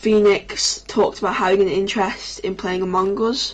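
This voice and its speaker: A woman speaks with a northern English accent at a moderate pace. Her medium-pitched voice keeps fairly even intonation. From northern England. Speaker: gaming streamer. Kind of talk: casual storytelling on a livestream. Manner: halting, many restarts.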